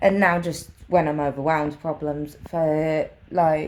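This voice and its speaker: In a very slow, monotone delivery, a woman speaks with a very deep, low pitch. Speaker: vlogger with a brain injury. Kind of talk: personal vlog monologue. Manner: slurred at times.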